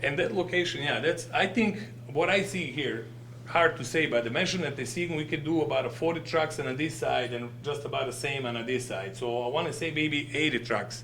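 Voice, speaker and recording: A man with a non-native accent speaks fairly quickly at a fairly high pitch. Audible room echo and noticeable background noise surround him. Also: ordinary pitch variation. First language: not English. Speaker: business owner presenting to village board. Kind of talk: public presentation at board meeting. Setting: village board meeting. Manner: halting.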